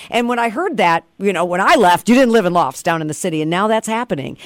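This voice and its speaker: The sound is dry and close with no echo as a woman with an American accent speaks over noticeable background noise. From Detroit. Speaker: country radio host. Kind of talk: casual chat.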